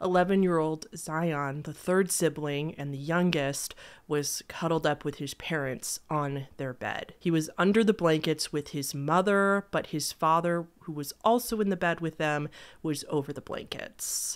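A fairly slow delivery with ordinary pitch variation over a quiet background. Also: woman, very deep, low pitch for a woman. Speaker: true crime video host. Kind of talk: storytelling commentary. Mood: serious, somber. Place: home room. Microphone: studio mic.

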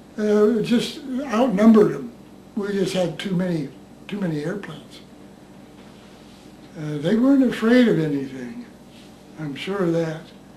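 Over light background noise and audible room echo, a man with an American accent talks at a moderate pace in a high pitch, with long, frequent pauses. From United States. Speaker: war veteran. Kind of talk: interview. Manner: halting. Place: home room.

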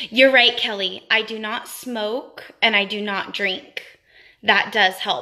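A woman speaks very slowly at a fairly high pitch, her intonation fairly even. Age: 20s. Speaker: beauty vlogger. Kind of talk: live stream product review. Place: home room. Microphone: phone near.

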